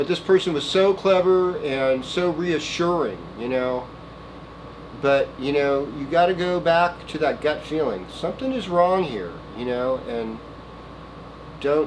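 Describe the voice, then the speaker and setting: A man with a Valley accent and fairly high pitch talks at a fairly slow pace with lively intonation and long, frequent pauses. Noticeable background noise sits behind him. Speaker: astrologer. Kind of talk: weekly horoscope monologue. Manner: casual, meandering with many fillers.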